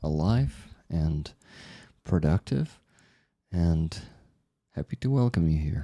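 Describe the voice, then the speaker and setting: A soft-spoken man with a very deep, low pitch and a dark, mellow tone talks with lively intonation. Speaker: livestream host. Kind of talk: casual livestream chat.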